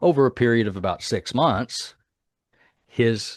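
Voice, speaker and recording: A man is speaking. The background is quiet. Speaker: inventor presenting a therapy system. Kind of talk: summit talk with moderator. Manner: animated.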